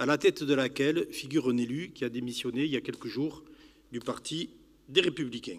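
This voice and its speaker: With a Catalan French accent, a man talks fairly quickly in a fairly high voice with ordinary pitch variation. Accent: southern French (Catalan). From southern France, Pyrénées-Orientales (Catalonia). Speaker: youth housing manager, conference speaker. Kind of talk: public lecture. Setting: conference hall with audience. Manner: formal.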